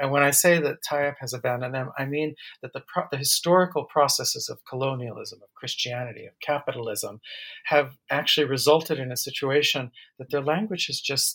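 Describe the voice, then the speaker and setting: A man with a plain, everyday voice, an American accent, a fairly high pitch, ordinary pitch variation, a fairly quick pace and big swings in loudness. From United States. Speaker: anthropology professor. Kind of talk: interview.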